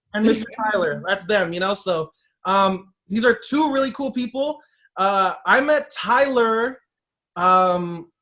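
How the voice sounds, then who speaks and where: High-pitched male speech, raised and projected, with a bright, sharp tone. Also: ordinary pitch variation. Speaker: podcast host. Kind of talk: casual chat. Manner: fast; casual, filler-heavy.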